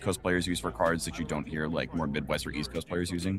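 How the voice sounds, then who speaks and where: There is music in the background. The man's voice is very deep and low. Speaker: tournament commentator. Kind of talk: live commentary. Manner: loud.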